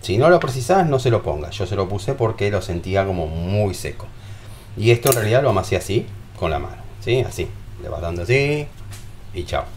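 A man with a Rioplatense accent talks at a fairly quick pace and a fairly low pitch. He leaves long, frequent pauses over light background noise. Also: lively intonation. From Argentina. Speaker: home cooking youtuber. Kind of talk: cooking tutorial. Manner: animated. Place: kitchen. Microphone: camera far.

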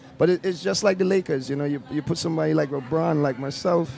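A man with a fairly high pitch speaks at a fairly quick pace with ordinary pitch variation, in a dry sound with no echo over light background noise. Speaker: video host. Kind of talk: casual interview. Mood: grateful, emotional thanks. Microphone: handheld.

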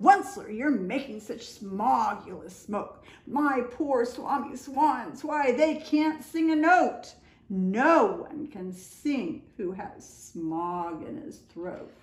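Using a put-on character voice, a woman speaks at a very slow pace with a high pitch and audible echo. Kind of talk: storybook read-aloud. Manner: scolding.

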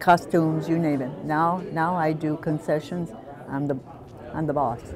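Noticeable background noise accompanies a woman speaking at a moderate pace in a very deep, low pitch with fairly even intonation. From Italy-born, raised in the U.S. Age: 90s. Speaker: retired traveler, community theater volunteer. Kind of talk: casual interview answer. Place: bar. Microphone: lapel.

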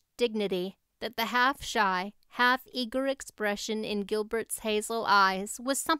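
A natural reading voice with ordinary pitch variation is heard, and the background is quiet.

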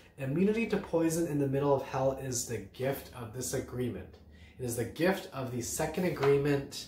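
With strong room echo, a man of medium pitch talks at a moderate pace in a slightly mellow tone with lively intonation.

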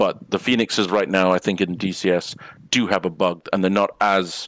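An ordinary speaking voice moves at a moderate pace with fairly even intonation, captured dry and close with no echo in a very clean recording with a silent background. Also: man. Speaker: flight sim panel member. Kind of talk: casual panel chat.

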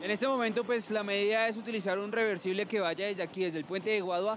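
A man keeps a fairly even intonation while talking at a fairly quick pace.

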